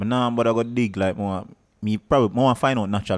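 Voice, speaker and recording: The delivery is very fast. Intonation stays fairly even. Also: man. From Jamaica, Saint Elizabeth. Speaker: call center agent. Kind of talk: casual chat.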